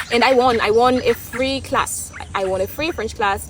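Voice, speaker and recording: Noticeable background noise accompanies a woman with an East African accent who speaks with ordinary pitch variation. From Tanzania. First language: Swahili. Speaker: vlogger. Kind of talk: casual opinion monologue. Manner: halting, with many restarts.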